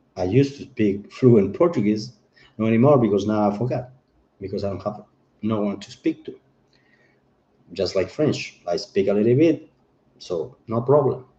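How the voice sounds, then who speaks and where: A man speaks at a medium pitch with a somewhat breathy, dark, mellow tone, ordinary pitch variation and big swings in loudness, at a moderate pace broken by long, frequent pauses. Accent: non-native. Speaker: chef and political commentator. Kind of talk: livestream monologue. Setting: home livestream on camera. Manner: animated; halting.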